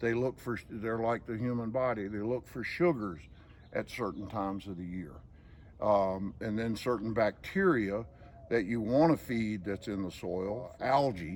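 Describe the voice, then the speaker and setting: A man with a Southern US accent, medium in pitch, with ordinary pitch variation. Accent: Southern US drawl. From Georgia. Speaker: estate manager. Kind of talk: casual explanation on garden tour.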